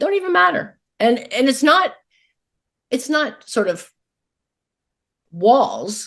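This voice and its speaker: A woman speaks loudly and very slowly, her high voice making very wide pitch swings. Long pauses come often. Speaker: podcast host. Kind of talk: podcast interview.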